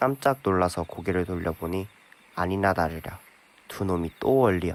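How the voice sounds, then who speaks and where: Ordinary pitch variation runs through a man's moderately paced speech. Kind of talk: audiobook reading.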